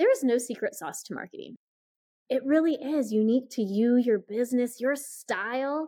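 This is a woman with an American accent and a normal speaking voice. She keeps a moderate pace with ordinary pitch variation. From US Midwest (Iowa). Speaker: marketing coach. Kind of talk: podcast interview.

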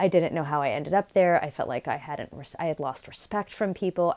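In a very clean recording with a silent background, a woman with an unremarkable speaking voice talks at a fairly quick pace, her fairly low pitch showing ordinary variation. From New York City. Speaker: leadership coach and professor. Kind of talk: personal storytelling monologue.

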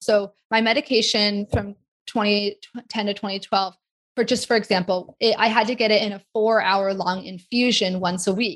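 A woman's ordinary speaking voice in an American accent, medium in pitch, at a moderate pace with ordinary pitch variation, in a dry, close recording with no echo. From US Pacific Northwest (Seattle area). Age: 40s. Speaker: occupational therapist. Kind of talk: interview conversation.

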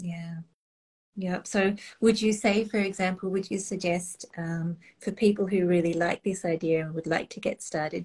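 Speaking in an Australian accent, a woman uses a medium-pitched, somewhat breathy voice at a moderate pace with fairly even intonation. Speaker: online retreat host. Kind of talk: casual interview chat.

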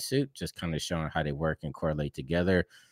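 A man with a very deep, low pitch and ordinary pitch variation is heard in a dry, close sound with no echo on a very clean recording with a silent background. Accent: American. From Pittsburgh, US. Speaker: motion graphics and game engine artist. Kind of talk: casual interview. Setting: live-streamed podcast.

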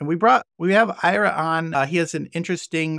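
A man with an ordinary speaking voice, fairly high-pitched, fairly quick, and with ordinary pitch variation, in a very clean recording over a silent background. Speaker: podcast host. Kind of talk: casual chat.

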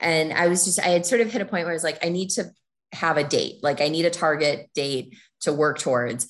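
An unremarkable speaking voice from a woman with an American accent, fairly low in pitch, with ordinary pitch variation, a fairly quick pace and a quiet background. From Minnesota, US Midwest. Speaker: former lawyer turned fundraiser, traveler. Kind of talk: interview, casual chat.

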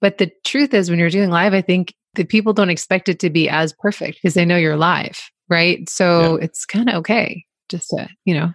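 A woman with a normal speaking voice and a medium pitch talks at a fairly quick pace, recorded with a dry, close sound and no echo. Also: quiet background. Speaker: podcast host. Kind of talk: interview conversation.

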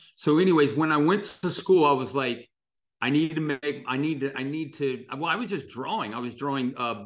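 Speaking in a Midwestern American accent, a man with a fairly high pitch sounds animated at a moderate pace, with ordinary pitch variation. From US Midwest, Dayton, Ohio. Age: 60s. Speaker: illustrator. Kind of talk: interview conversation.

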